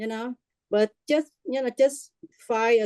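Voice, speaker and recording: A woman speaks in a Vietnamese accent, her fairly high pitch paired with a dark, mellow tone. The sound is dry and close with no echo, and her pace is fairly slow. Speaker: workshop participant. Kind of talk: testimony. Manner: halting.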